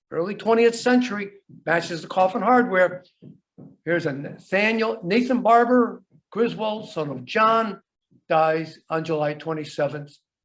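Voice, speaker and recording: With lively intonation, a man talks in a high pitch at a moderate pace. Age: 70s. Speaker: archaeologist. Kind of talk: lecture. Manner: halting.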